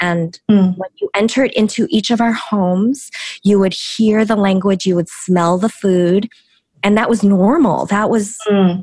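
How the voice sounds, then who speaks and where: Somewhat breathy and at a fairly slow pace, a woman speaks with an American accent and fairly even intonation. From US Midwest, Chicago. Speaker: author and speaker. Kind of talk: interview conversation. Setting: video call.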